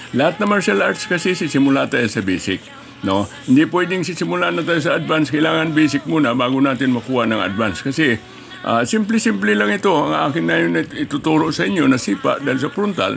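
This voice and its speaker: Over music in the background, the speaker talks very fast with very wide pitch swings. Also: man, fairly high pitch for a man. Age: 80s+. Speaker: martial arts instructor. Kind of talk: tutorial.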